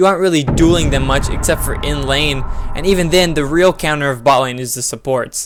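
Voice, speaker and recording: Background noise is clearly audible. Over it, a man talks rather fast. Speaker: game streamer. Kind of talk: tutorial. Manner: loud; casual, chatty with viewers.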